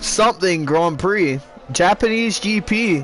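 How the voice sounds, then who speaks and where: There is noticeable background noise as a man talks. His pitch swings very widely. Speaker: sim racing league commentator. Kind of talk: live commentary. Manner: loud; animated.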